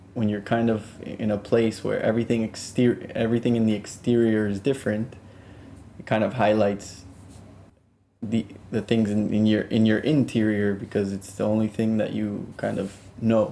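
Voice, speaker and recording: A man with a Spanish accent talks at a fairly low pitch in a dark, mellow tone. His delivery is monotone and flat at a moderate pace, broken by long, frequent pauses. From South Florida, Colombian family. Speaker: music producer. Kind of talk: interview. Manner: halting, many fillers and restarts.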